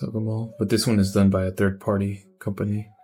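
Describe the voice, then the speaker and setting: Music plays in the background while a man talks at a moderate pace with a fairly low pitch. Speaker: toy collector YouTuber. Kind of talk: collection tour. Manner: casual.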